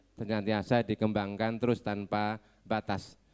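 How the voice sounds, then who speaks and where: Dry and close with no echo, a man with a Javanese accent speaks at a fairly low pitch. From Ponorogo, East Java. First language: Javanese (speaking Indonesian). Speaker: education office representative. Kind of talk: ceremonial speech. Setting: graduation ceremony.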